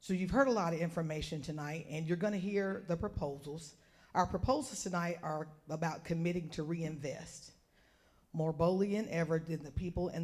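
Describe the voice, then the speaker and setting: A woman with a Southern US accent speaks at a moderate pace, her fairly low pitch showing ordinary variation. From North Carolina, Orange County. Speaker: community advocate. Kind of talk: public speech.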